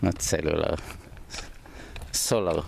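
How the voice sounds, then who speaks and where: A man speaks with noticeable background noise. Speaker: vlogger. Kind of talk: casual walking vlog. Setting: outdoors at the Dead Sea. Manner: out of breath while walking.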